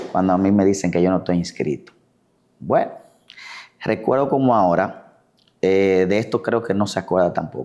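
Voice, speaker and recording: In a quiet background, a man with a very deep, low pitch and a dark, mellow tone speaks at a moderate pace with long, frequent pauses, ordinary pitch variation and very even loudness. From Dominican Republic, La Vega; Dominican Republic. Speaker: physician and elected city councillor; elected city councillor. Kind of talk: interview. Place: home room. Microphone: lapel.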